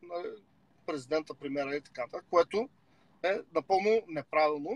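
With an Eastern European accent and lively intonation, a man speaks in a dry sound with no echo. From Bulgaria. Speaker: rapper and political commentator; political commentator. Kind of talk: casual chat. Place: car. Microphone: video call.

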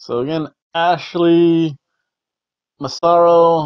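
Against a quiet background, a man speaks with a fairly high pitch. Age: 40s. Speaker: wrestling video reviewer; wrestling show host. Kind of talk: casual monologue review. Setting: home recording. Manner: rambling, halting. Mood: somber in tribute part. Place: home room. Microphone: lapel.

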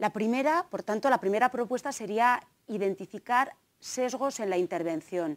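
A woman with a slight Navarrese accent and a fairly high pitch talks with lively intonation against a quiet background. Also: moderate pace. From Navarre, Spain (Tafalla); Navarre, Spain. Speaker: gender studies lecturer and researcher; gender studies lecturer. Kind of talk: conference talk. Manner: hesitant, many fillers. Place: hall. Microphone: lapel.

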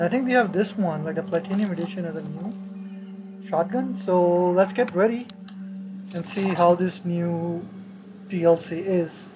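A woman's medium-pitched voice at a moderate pace, with fairly even intonation, long, frequent pauses and noticeable background noise. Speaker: gamer doing let's play commentary. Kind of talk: casual gameplay commentary. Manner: sometimes mumbles, drops volume.

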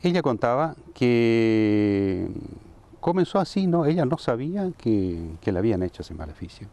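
A man's dark, mellow voice at a fairly slow pace, with very wide pitch swings and a dry sound with no echo. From Saladas, Corrientes, Argentina; Corrientes, Argentina. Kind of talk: interview. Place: garden. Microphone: lapel.

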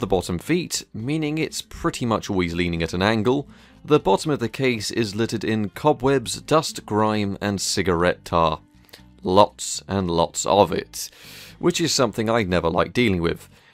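Music plays in the background of a dry recording with no echo. A man speaks at a moderate pace and a fairly low pitch with lively intonation. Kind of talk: tutorial commentary.

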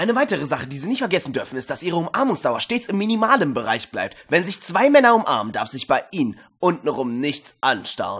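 A man's put-on character voice, fairly high with big pitch swings, a slightly husky edge and a fairly bright tone, at a fairly quick pace with few pauses.

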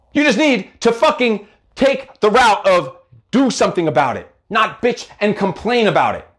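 Against a quiet background, a man speaks with a high pitch and lively intonation. His tone is animated. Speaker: motivational coach and live show host. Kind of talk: motivational livestream monologue. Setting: live video broadcast on social media. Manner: fast. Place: home room.

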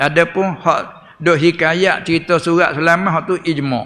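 A man speaks very slowly in a Patani Malay accent, his pitch fairly high. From Thailand. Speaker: religious teacher. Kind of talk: religious lecture. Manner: animated. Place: hall. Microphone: podium.

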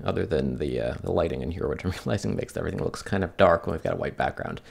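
The man talks at a very fast pace. The background is quiet. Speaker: tech reviewer. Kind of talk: tutorial demo commentary. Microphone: camera far.

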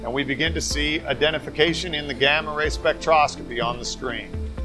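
A man is heard with clear music in the background. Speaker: presenter. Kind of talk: product demonstration. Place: workshop.

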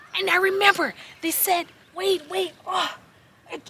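Light background noise sits behind the recording. A woman speaks with an extremely high pitch. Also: dry sound with no echo. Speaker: storyteller parent. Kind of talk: casual vlog storytelling. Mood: spooky, playful alarm. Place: open country. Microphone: camera far.

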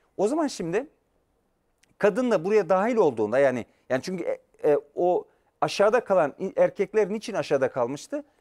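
A man with a high pitch speaks at a moderate pace. His pitch swings very widely against a quiet background. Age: 50s. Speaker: professor. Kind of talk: lecture. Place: studio. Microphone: lapel.

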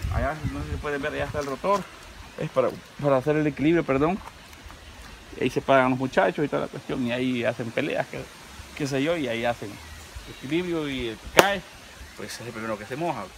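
A man speaks at a medium pitch with a Salvadoran accent, at a fairly quick pace broken by long, frequent pauses. His pitch varies in an ordinary way, and noticeable background noise runs underneath. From El Salvador. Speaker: YouTube vlogger. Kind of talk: casual vlog narration. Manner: animated. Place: garden.

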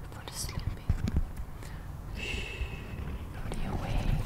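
Soft-spoken, a woman whispers. Loud background noise surrounds her. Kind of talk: soft-spoken ASMR roleplay. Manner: soft ASMR whisper, hushing.

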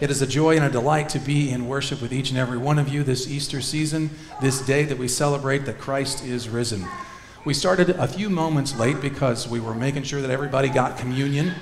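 Talking very fast with fairly even intonation, a man is heard amid light background noise and audible room echo. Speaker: minister leading worship. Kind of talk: worship service announcements and liturgy. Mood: warm, joyful. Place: church.

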